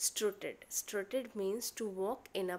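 A woman's medium-pitched voice with an Indian accent, very slow and with ordinary pitch variation, in a very clean recording with a silent background. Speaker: school teacher. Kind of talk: lesson explaining a story. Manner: halting, many fillers.

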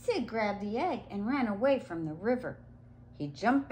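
Lively intonation from a natural reading voice

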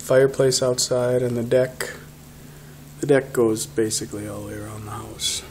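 Light background noise is present. The talking goes at a fairly slow pace. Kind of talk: casual tour narration. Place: home room. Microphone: phone near.

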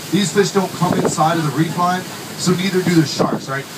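A man talking fairly quickly over loud background noise. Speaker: tour guide. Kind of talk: tour guide talk with jokes. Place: boat.

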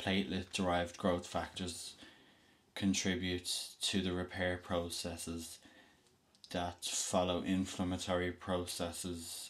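A man speaks in a Dublin accent with a very deep, low pitch. His delivery is monotone and flat at a fairly slow pace. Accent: Dublin Irish. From Dublin, Ireland. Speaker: student vlogger. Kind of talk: reading a textbook passage aloud. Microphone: webcam.

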